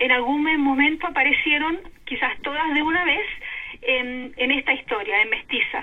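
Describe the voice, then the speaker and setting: Fairly slow speech with ordinary pitch variation amid noticeable background noise. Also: woman. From Chile, Concepción. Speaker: novelist and historian. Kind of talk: interview. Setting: phone call.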